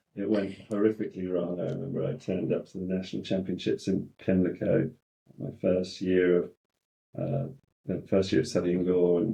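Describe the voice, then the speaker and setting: Dark, mellow tone in an English accent at a moderate pace. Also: man. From England, partly raised in Australia and the US. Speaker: in-house lawyer. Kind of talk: podcast interview.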